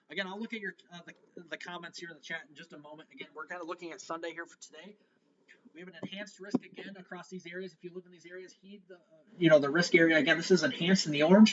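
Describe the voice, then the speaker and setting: A man talks at a very fast pace in a high voice with fairly even intonation. His loudness swings widely. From northern Illinois. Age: 20s. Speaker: weather live streamer. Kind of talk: live weather coverage. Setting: live stream. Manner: casual, halting with fillers.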